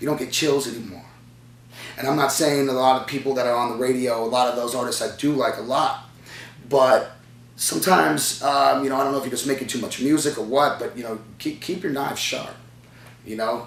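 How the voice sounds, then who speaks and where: A man with an American accent, medium pitch, ordinary pitch variation and a fairly quick pace, plus audible room echo and noticeable background noise. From US Southwest, Chandler, Arizona. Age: 20s. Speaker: rapper. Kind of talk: interview. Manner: halting, many fillers.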